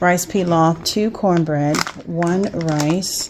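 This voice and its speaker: Noticeable background noise runs under a woman's speech. Her pitch is fairly low, and her intonation is fairly even. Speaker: vlogger. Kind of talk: casual vlog chat. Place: kitchen. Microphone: phone near.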